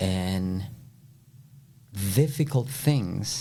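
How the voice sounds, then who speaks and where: Somewhat breathy and dark, mellow in tone, a man speaks with a Spanish accent and ordinary pitch variation. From El Salvador. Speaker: flooring contractor. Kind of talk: podcast interview answer.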